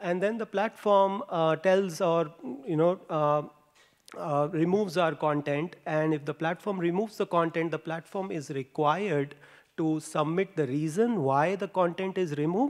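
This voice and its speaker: Speaking at a moderate pace, a man with an Indian accent has a high pitch and ordinary pitch variation. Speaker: postdoctoral researcher. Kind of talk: conference talk. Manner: halting, many fillers.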